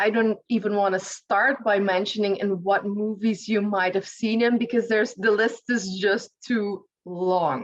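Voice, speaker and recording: At a fairly slow pace and with hardly any pauses, a woman talks in an unremarkable speaking voice of medium pitch, with fairly even intonation and very even loudness. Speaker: podcast host, author and speaker on high sensitivity. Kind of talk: interview questions.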